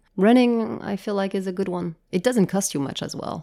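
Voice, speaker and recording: A woman speaks at a moderate pace with lively intonation and a dark, mellow tone. The recording is very clean, with a silent background. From France, raised in Japan. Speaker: startup founder and CEO. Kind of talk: interview. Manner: hesitant with fillers and repetitions.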